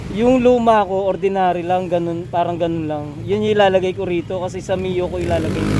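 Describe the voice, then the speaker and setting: A man speaks at a fairly quick pace in a high pitch, with hardly any pauses. Noticeable background noise and audible room echo fill the recording. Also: ordinary pitch variation. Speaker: motorcycle vlogger. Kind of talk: casual vlog narration.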